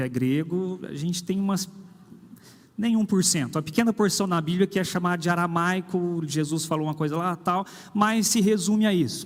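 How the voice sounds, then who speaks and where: A man is speaking. His pitch sits high. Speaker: pastor. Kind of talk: sermon. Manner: conversational, with hesitations.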